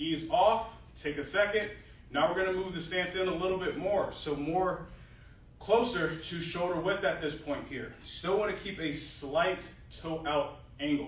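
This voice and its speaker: Audible room echo surrounds a man who speaks at a fairly slow pace in a high pitch. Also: ordinary pitch variation. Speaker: fitness coach. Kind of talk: tutorial. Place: gym. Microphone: camera far.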